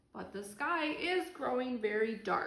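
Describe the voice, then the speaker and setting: A woman uses a put-on character voice, high in pitch and fairly slow. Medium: read story.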